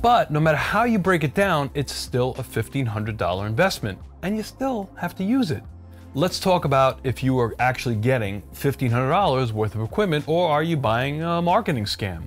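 A man keeps a moderate pace while faint music plays in the background. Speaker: cooking channel host. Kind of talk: product review commentary. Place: kitchen.

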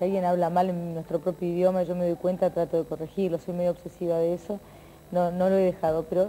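This woman has a normal speaking voice with a fairly low pitch. She talks at a fairly quick pace. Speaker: TV presenter. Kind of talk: interview answer. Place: studio.

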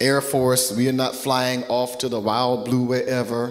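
A man speaks at a moderate pace with monotone, flat intonation. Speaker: pastor. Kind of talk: sermon. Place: church. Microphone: handheld.

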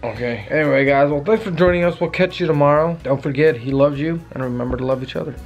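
A man talking at a very fast pace with hardly any pauses and ordinary pitch variation, faint music in the background. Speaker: vlogger. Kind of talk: casual vlog chat. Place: home room. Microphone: phone near.

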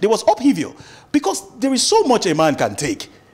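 This man talks at a fairly quick pace with a Nigerian accent. His pitch swings very widely. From Nigeria, Akwa Ibom State. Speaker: lawyer. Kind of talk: studio interview. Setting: studio. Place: studio. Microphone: lapel.

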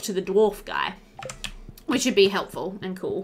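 A woman talks at a moderate pace in a medium pitch. Her intonation is lively and her tone fairly bright.

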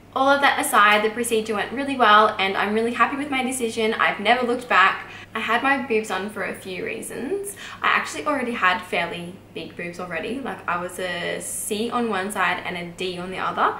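An Australian accent at a fairly quick pace with hardly any pauses and ordinary pitch variation, in audible room echo with light background noise. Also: woman. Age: 20s. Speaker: YouTuber, midwife and new mother. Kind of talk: vlog Q&A monologue. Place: home room.

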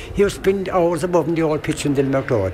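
Over noticeable background noise, a man speaks in a strong Kerry accent with ordinary pitch variation. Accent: Irish (Kerry), strong. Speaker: brother of late club founder. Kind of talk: interview reminiscence. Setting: outdoor event recording.

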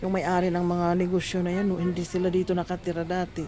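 A woman with a fairly low pitch talks while music plays in the background. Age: 60s. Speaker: vlogger. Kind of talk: casual vlog.

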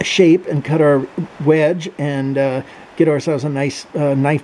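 Fairly even intonation and a fairly slow pace come through over light background noise. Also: man. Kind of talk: tutorial. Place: workshop. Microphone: phone near.

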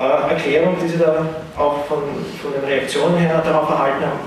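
A man with a fairly high pitch speaks at a moderate pace amid strong room echo and light background noise. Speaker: moderator. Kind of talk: panel moderation. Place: hall.

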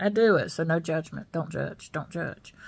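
Against a quiet background, a woman talks at a moderate pace with a Southern US accent. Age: 60s. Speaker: YouTuber. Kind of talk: casual vlog chat. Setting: at home. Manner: chatty, with many fillers. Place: home room. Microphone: phone near.

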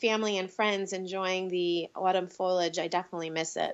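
With an American accent, a woman speaks at a moderate pace in a medium pitch, her intonation monotone and flat. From New York (Bronx, then Long Island). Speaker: acting coach and producer. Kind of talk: interview.

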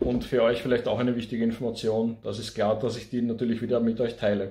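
Somewhat breathy male speech with a dark, mellow tone at a fairly quick pace. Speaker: gardening vlogger. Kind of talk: casual vlog chat. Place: home room. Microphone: phone near.

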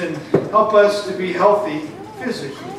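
Amid noticeable background noise and audible room echo, a man speaks at a high pitch. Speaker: preacher. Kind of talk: sermon. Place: church.

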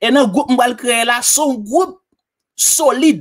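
Moderate pace against a quiet background. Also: man. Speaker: online tutorial presenter; presenter. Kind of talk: tutorial. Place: home room. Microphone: studio mic.

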